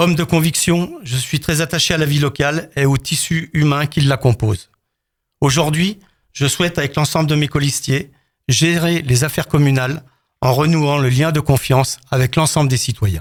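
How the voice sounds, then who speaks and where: Somewhat breathy, a man talks at a fairly high pitch and a moderate pace. His loudness stays very even, and his pitch variation is ordinary. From France, Haute-Savoie (Rumilly). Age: 60s. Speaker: retired firefighter officer, mayoral candidate. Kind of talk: prepared candidate statement.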